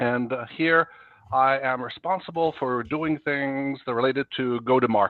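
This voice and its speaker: This man speaks at a medium pitch in a Norwegian accent. His pitch varies in an ordinary way. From Norway. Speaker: software executive. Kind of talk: podcast interview.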